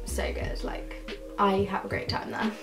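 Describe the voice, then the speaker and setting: A woman speaks at a moderate pace. Clear music plays in the background. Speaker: university student vlogger. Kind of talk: casual vlog chat. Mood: upbeat, chatty. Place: home room. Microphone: camera far.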